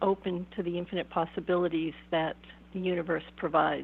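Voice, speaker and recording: Speaking at a moderate pace, a woman at medium pitch talks with an American accent. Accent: Boston accent, somewhat suppressed. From Boston area, US. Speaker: shamanic counselor and author. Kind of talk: interview. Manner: thoughtful, with filler hesitations.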